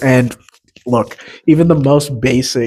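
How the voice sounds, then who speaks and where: A man of medium pitch speaks at a moderate pace. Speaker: podcast co-host. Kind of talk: casual chat. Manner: loud.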